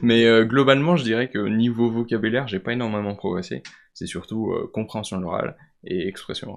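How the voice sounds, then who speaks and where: A man speaks at a medium pitch and a fairly quick pace. His pitch varies in an ordinary way. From France, Vosges. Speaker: student. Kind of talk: podcast interview. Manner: hesitant, many fillers.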